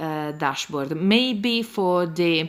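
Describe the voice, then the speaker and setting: A woman speaks very slowly in an Italian accent. Her pitch sits fairly low. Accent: non-native, Italian-accented English. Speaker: planner youtuber. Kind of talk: tutorial. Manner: halting, many fillers.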